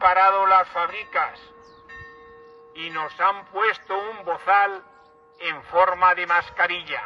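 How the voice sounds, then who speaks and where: Through noticeable background noise, a man projects a raised, high-pitched voice at a very slow pace. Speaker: town crier. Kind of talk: rhymed festival proclamation.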